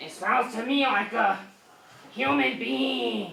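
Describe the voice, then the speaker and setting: Put-on character voice, fairly high pitched with very wide pitch swings, fairly slow, with slight echo. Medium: stage play. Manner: greedy, theatrical.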